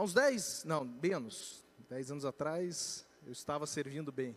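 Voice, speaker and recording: The speaker has a Curitiba accent and talks at a fairly slow pace. The pitch swings very widely. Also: man. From Curitiba, southern Brazil. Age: young. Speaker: financial education speaker. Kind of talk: church talk on personal finance.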